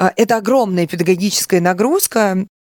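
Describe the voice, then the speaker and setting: An ordinary speaking voice moves at a fairly quick pace with ordinary pitch variation, recorded dry and close with no echo. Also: woman. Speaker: singer and voice yoga instructor. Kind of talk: guided breathing exercise.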